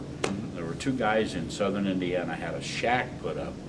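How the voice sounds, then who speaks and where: A man at a fairly quick pace, with ordinary pitch variation and noticeable background noise. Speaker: horse show interview host. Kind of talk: casual interview talk.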